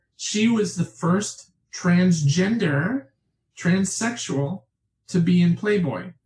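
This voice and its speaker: Somewhat breathy, the voice carries an American accent and lively intonation. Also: woman. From New York State, Catskills. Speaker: author. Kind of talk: interview conversation. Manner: talkative.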